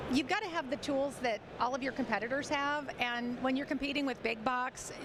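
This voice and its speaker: A woman with a high voice talks at a fairly quick pace with ordinary pitch variation over noticeable background noise. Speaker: credit and collections expert, author and speaker. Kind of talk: casual interview. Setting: sound stage at a trade show.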